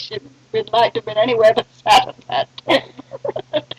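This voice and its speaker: In a British accent, a woman speaks at a high pitch and a moderate pace with lively intonation. The sound is dry and close, with no echo. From Sri Lanka (Colombo), British family. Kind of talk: interview answer, family storytelling. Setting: old cassette recording.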